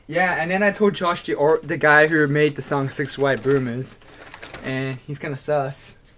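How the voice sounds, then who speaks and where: Speech moves at a moderate pace with ordinary pitch variation. Noticeable background noise sits behind it. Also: man, fairly high pitch for a man. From Australia. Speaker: podcast co-host. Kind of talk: casual chat.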